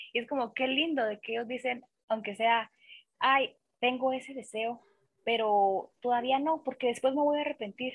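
Her high-pitched voice holds fairly even intonation as the woman speaks at a moderate pace. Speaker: podcast guest. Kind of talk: casual chat.

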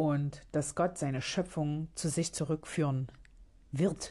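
Over a quiet background, a woman speaks at a very deep, low pitch in a dark, mellow tone. Her intonation is fairly even and her pace fairly slow. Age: 30s. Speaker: podcast host. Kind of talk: casual monologue. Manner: halting.

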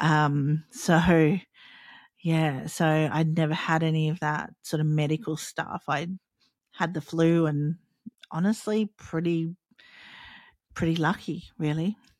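In a very clean recording with a silent background, a woman speaks with an Australian accent in a very deep, low voice. Her pace is very slow, her intonation fairly even, and her pauses long and frequent. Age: 40s. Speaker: podcast host. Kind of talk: solo podcast monologue, personal storytelling. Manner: halting, hesitant with many fillers; casual, unpolished.

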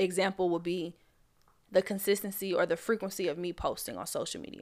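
A woman's normal speaking voice at medium pitch, fairly even in intonation, on a very clean recording with a silent background. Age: 20s. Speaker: podcast host and influencer. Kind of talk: casual solo podcast talk.

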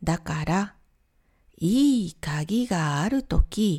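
A woman speaks at a very slow pace with a dark, mellow tone. Her intonation is lively. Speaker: Japanese language teacher. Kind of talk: simplified lesson podcast for learners. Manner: slow, simple phrasing.

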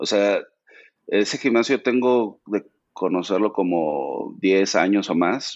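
At a very slow pace, a man talks in a fairly low pitch with ordinary variation. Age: 40s. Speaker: fitness content creator. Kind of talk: interview.

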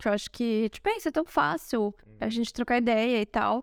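A woman with a fairly high pitch talks at a fairly quick pace in a normal speaking voice, recorded very cleanly against a silent background with dry, close sound and no echo. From Brazil. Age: 30s. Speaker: podcast co-host. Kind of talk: casual chat. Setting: recording in Rome.

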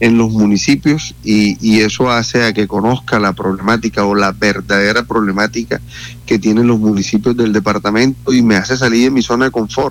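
A man's medium-pitched voice with fairly even intonation, music in the background. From Colombia, Atlántico (Santo Tomás). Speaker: politician and university lecturer. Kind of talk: radio interview. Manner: halting, many repetitions and fillers.

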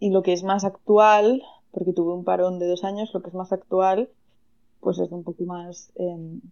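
This is a woman with an ordinary speaking voice. She talks at a fairly slow pace. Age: 30s. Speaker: astrologer. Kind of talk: interview.

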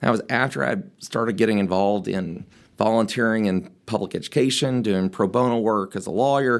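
At a fairly quick pace, a man speaks at a medium pitch with ordinary pitch variation on a very clean recording with a silent background. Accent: Tennessee. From rural West Tennessee. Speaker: mayoral candidate, lawyer and state legislator. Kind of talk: interview.

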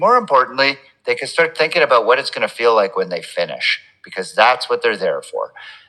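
Here a man speaks with a Canadian accent. His pace is fairly quick. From Quebec, Montreal. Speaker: physician and triathlon coach. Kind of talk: casual interview.

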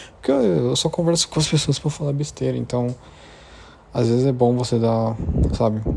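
Noticeable background noise surrounds a man of medium pitch who speaks with ordinary pitch variation and long, frequent pauses. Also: moderate pace. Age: 20s. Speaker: podcaster. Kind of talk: casual monologue.

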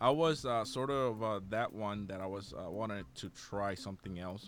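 This man has a fairly low pitch. He speaks with a Spanish accent. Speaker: podcast host. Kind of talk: casual interview. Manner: halting, many fillers.

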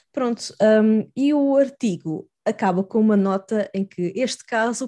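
At a fairly slow pace, a woman speaks with a fairly high pitch and a dark, mellow tone. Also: very clean recording, silent background. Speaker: podcast co-host. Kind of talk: casual chat.

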